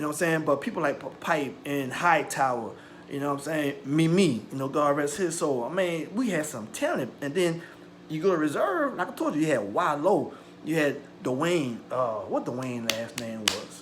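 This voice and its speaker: A man speaks at a fairly high pitch with ordinary pitch variation. Audible room echo and noticeable background noise surround him. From US South, St. John Parish, Louisiana. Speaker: YouTuber. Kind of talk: personal storytelling. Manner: fast; animated.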